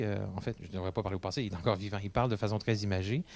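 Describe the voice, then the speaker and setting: The background is silent and the recording very clean. A man talks with ordinary pitch variation. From Quebec City, Quebec. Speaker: English-French interpreter. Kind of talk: interview testimony. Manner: hesitant, many fillers and repetitions.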